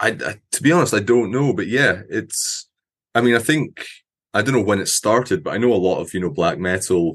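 In a Scottish accent, a man speaks at a fairly quick clip with lively intonation. The background is quiet. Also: medium pitch for a man. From Scotland; Aberdeen, Scotland. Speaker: metal musician. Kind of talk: casual interview.

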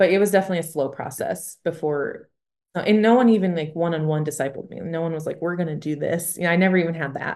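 The woman's pitch sits fairly low and varies in an ordinary way as she talks at a very fast pace. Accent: American. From Michigan. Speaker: missionary. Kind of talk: casual chat.

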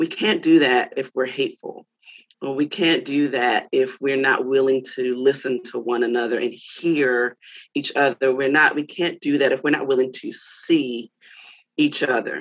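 A woman's very deep, low voice at a moderate pace with fairly even intonation. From Baltimore, US. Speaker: pastor's wife, preacher and author. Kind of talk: interview. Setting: radio show.

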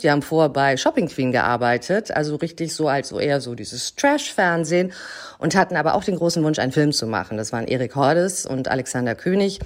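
Her pitch very deep and low, a woman speaks at a fairly quick pace with lively intonation. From Germany, Hamburg. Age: 40s. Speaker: actress and film producer. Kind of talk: interview.

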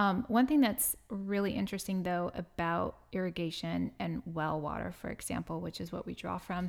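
Using an ordinary speaking voice with an American accent, a woman talks at a moderate pace and fairly low pitch with ordinary pitch variation, in a very clean recording with a silent background. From San Diego, California. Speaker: farmer and herbalist. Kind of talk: interview. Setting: studio, in person.

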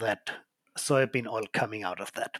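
A man speaks with an Austrian accent and lively intonation, the sound dry and close with no echo. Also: very clean recording, silent background. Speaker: oil company co-owner. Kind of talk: casual chat.

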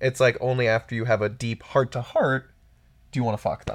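At a medium pitch, a man talks in a normal speaking voice. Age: 30s. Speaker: sex columnist and author. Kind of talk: casual chat.

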